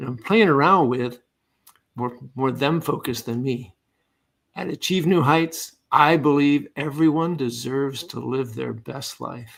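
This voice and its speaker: A man speaks in an ordinary speaking voice, fairly high in pitch with ordinary pitch variation. His pace is fairly slow, and his loudness swings widely. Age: 60s. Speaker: leadership coach and retired Air Force officer. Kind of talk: podcast interview.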